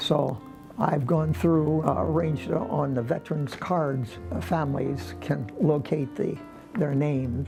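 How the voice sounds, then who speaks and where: With music in the background, a man with a fairly high voice speaks at a fairly slow pace, his pitch swinging very widely. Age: 80s+. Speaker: World War II veteran, volunteer. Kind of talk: interview answer.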